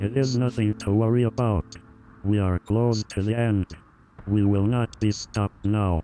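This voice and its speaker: Over faint background music, a man does a put-on character voice at a fairly low pitch and a moderate pace. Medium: machinima. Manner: calm, flat, measured.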